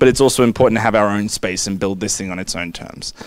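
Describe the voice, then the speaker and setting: A man with an Australian accent talks at a very fast pace in a fairly low pitch, with ordinary pitch variation and a dry sound with no echo. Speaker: law professor, panelist. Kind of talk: panel discussion; panel presentation. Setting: conference room with audience. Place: meeting room. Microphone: podium.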